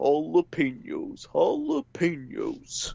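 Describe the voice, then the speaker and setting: At a very slow pace, a man delivers his lines in a put-on character voice. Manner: silly, repeated.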